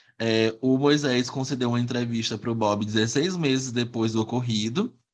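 A man with a normal speaking voice, medium pitch, moderate pace and fairly even intonation. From Piauí, Brazil (Teresina). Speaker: podcast host. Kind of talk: casual chat storytelling.

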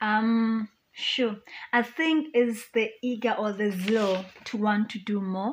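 A woman speaks very slowly in a fairly high pitch. Her voice is somewhat breathy, with ordinary pitch variation. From South Africa, North West province. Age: 30s. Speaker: beauty pageant contestant and philanthropist. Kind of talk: radio interview.

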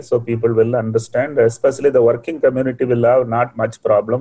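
A man with a Tamil accent, medium pitch, and a dark, mellow, somewhat breathy tone, at a very fast pace in monotone, flat intonation. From India, Tamil Nadu (Coimbatore). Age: 60s. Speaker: entrepreneur and scientist. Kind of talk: motivational talk in a webinar. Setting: online webinar.

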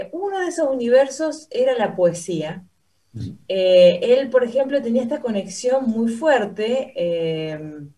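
Very slowly, a woman speaks in a high voice that swings very widely in pitch. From Argentina, Santa Fe. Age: young. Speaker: pianist. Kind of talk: radio interview. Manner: hesitant, many fillers.

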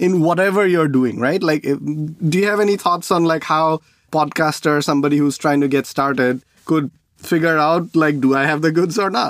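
Here a man has a normal speaking voice, pitched fairly high. He moves at a moderate pace with ordinary pitch variation. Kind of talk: casual interview chat.

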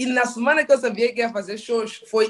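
A woman speaks with ordinary pitch variation. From Mozambique (Maputo, later northern Mozambique). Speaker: stand-up comedian. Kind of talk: casual chat. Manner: animated.

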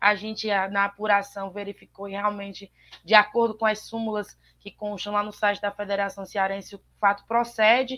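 Her tone bright and sharp, a woman speaks at a moderate pace and medium pitch, with monotone, flat intonation and big swings in loudness. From Ceará interior, Brazil. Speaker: sports reporter. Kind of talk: sports talk show. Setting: remote call into live show.

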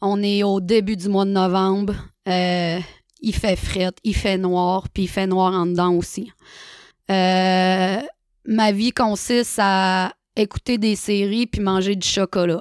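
The speech comes at a very slow pace with monotone, flat intonation and long, frequent pauses. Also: woman, medium pitch for a woman, very even loudness. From Quebec, Saguenay-Lac-Saint-Jean (Chicoutimi). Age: 30s. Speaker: recovering alcoholic sharing her story. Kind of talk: personal testimony.

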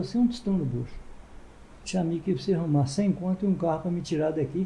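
At a very fast pace, a man speaks in a high voice with lively intonation. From Ibatiba, Espírito Santo, Brazil. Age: 80s+. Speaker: former mayor and muleteer. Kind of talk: interview, storytelling.

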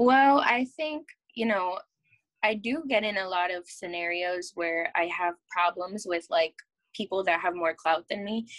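With an American accent, a woman talks in a plain, everyday voice at medium pitch, using lively intonation at a fairly slow pace, the sound dry and close with no echo. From New York. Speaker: actress and model. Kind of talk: casual interview.

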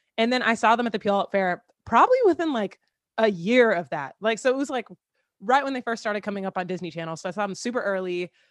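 A woman with an American accent speaks very fast, her fairly high voice full of lively intonation. The sound is dry and close with no echo, over a quiet background. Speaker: singer-songwriter and content creator. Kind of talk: casual chat.

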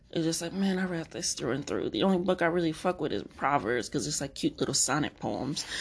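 A woman with vocal fry and a fairly low pitch talks at a fairly quick pace, her intonation lively. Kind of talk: casual monologue.

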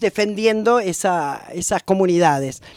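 In a porteño accent, a woman speaks with lively intonation. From Buenos Aires, Argentina. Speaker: retired history teacher and researcher. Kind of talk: interview.

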